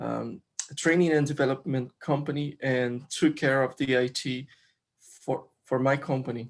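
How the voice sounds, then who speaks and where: A man with a Brazilian accent speaks at a medium pitch and moderate pace, his intonation monotone and flat. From Brazil, Rio de Janeiro. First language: Portuguese. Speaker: software developer and crypto community member. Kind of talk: interview. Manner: halting, many fillers.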